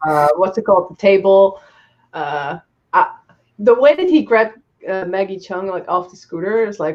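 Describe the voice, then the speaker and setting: A woman speaks with a non-native accent at medium pitch. Her pace is moderate and her tone animated. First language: not English. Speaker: movie review show co-host. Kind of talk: casual chat. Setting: live stream.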